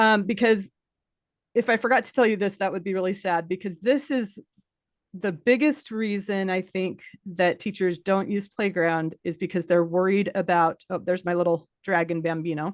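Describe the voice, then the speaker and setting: A woman speaks at a moderate pace with an enthusiastic tone and a medium pitch. The background is quiet. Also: ordinary pitch variation. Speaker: teacher and creator of custom virtual classroom games. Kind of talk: podcast interview with screen demonstration.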